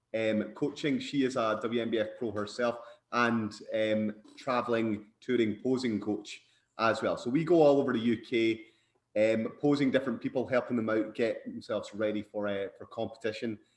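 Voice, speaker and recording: Scottish-accented man at medium pitch, moderate pace and fairly even intonation. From Scotland. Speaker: bodybuilder and posing coach. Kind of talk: podcast interview.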